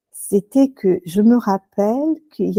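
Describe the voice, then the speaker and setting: A woman's dark, mellow tone comes through with a fairly high pitch and lively intonation, in a dry, close sound with no echo. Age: 60s. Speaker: hypnotherapist. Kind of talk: interview. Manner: halting, many fillers.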